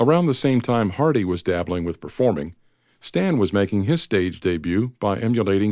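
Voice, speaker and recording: Against a quiet background, a normal speaking voice moves with lively intonation. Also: man. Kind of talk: audiobook narration of a biography, read aloud. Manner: steady, measured, formal narrator.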